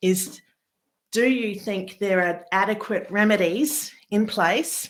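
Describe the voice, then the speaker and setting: Her intonation is fairly even. The woman speaking has an Australian accent. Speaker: family lawyer. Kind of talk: webinar presentation. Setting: live webinar.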